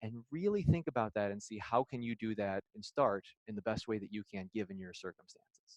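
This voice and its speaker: Very fast speech comes from a man with a Midwestern accent. The sound is dry and close, with no echo. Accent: Midwestern accent, noticeable to locals. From Illinois. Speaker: physical therapist. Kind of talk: lecture.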